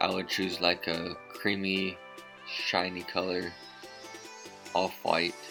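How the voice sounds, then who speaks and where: Music plays in the background while a man speaks at a very deep, low pitch. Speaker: husband doing voiceover. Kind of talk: humorous makeup tutorial voiceover.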